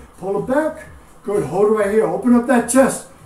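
Audible room echo around a man's voice. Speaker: fitness instructor. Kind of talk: live-cued bodyweight and dumbbell workout class instruction, counting reps. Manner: upbeat, steady motivating tone, doubling each phrase. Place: home room. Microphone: camera far.

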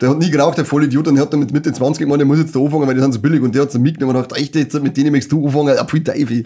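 This man's voice is fairly high, with a dark, mellow tone and a monotone, flat intonation. He talks at a very fast pace with hardly any pauses and very even loudness. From Bavaria. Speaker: podcast co-host. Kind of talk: casual chat. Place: studio.

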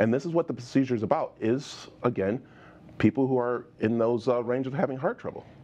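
A man talks at a fairly quick pace with a medium pitch. His tone is dark and mellow. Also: ordinary pitch variation. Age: 50s. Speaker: TV show host. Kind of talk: TV interview. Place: studio. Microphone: lapel.

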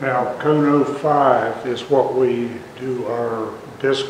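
Light background noise sits under audible room echo. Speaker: university ceramics instructor hosting. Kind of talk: tutorial. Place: workshop. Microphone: lapel.

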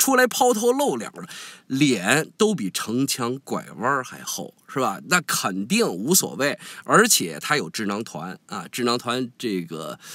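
On a very clean recording with a silent background, a man with a bright, sharp tone and vocal fry speaks at a fairly slow pace, his pitch swinging very widely. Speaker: online commentator. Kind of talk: casual monologue commentary. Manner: good-humored, smiling.

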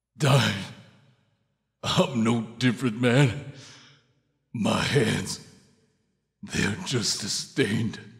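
Shouting at a medium pitch, a man speaks at a very slow pace with ordinary pitch variation and long, frequent pauses. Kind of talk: video game voice acting. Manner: emotional, pleading, shouting.

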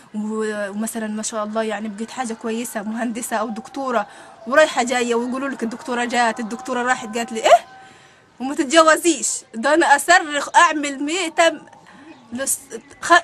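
At a moderate pace, the speech shows big swings in loudness, with music in the background. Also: woman, high pitch for a woman, ordinary pitch variation. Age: 20s. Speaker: divorced mother. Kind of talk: interview answer.

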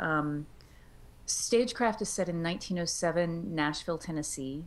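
The woman's voice sits fairly low in pitch. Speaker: author, puppeteer and audiobook narrator. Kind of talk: interview answer. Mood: friendly, animated. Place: home room. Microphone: video call.

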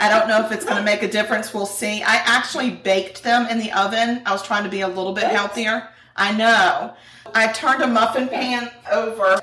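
With audible room echo, a woman talks at a fairly quick pace, her fairly high pitch showing ordinary variation. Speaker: true crime podcast co-host. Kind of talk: casual chat while cooking. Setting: home kitchen. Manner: laughs often. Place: kitchen.

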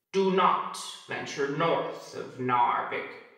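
Through a strong echo, a man in a put-on character voice speaks at a very slow pace with a high pitch. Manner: horrific, menacing.

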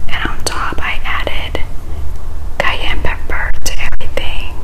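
A woman is whispering. She speaks at a fairly slow pace. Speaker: food vlogger. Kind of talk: casual vlog chat. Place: home room. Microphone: phone near.

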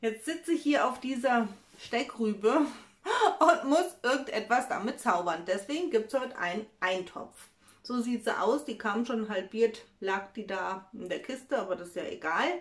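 A woman speaks at a moderate pace, her loudness swinging widely. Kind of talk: casual cooking vlog chat. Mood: cheerful, chatty. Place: kitchen. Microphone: phone near.

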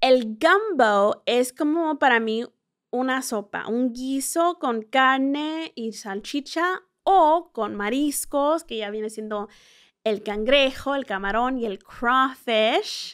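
On a very clean recording with a silent background, a woman with a non-native accent speaks very slowly in a high pitch with lively intonation. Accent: Spanish slightly rusty, may mispronounce. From central California and small-town Texas, Mexican parents. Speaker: tourism communications director and podcast host. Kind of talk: informal travel guide explanation.

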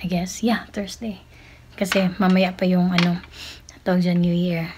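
A somewhat breathy woman over light background noise. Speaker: cooking vlogger. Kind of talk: casual vlog chat. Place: kitchen. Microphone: phone near.

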